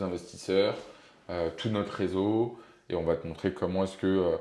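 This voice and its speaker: A man's very deep, low voice, dark and mellow in tone, with monotone, flat intonation. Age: 20s. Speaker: startup investor and co-founder. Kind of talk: casual interview. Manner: hesitant, many fillers.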